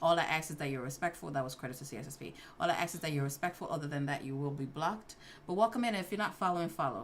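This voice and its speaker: With a New York accent, a woman talks at a very fast pace in a very deep, low pitch, her intonation lively and her loudness swinging widely. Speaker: livestream host, IT certification study. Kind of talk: casual livestream Q&A.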